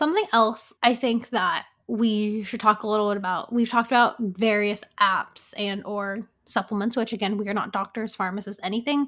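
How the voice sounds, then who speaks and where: At a moderate pace, a woman with a normal speaking voice talks in a fairly high pitch and fairly even intonation. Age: 20s. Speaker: podcast co-host. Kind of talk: casual chat.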